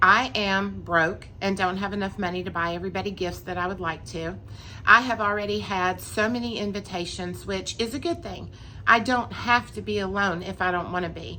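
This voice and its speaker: A woman speaks at a moderate pace with a medium pitch, a bright, sharp tone and vocal fry. Her intonation stays fairly even, and audible room echo surrounds her voice. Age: 60s. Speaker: mental health vlogger. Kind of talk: personal advice talk. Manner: casual, conversational.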